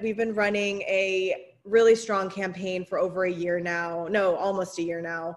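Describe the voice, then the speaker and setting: A plain, everyday voice from a woman at medium pitch, with ordinary pitch variation and a moderate pace over a quiet background. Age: 20s. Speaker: city council candidate. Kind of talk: campaign talk on a panel.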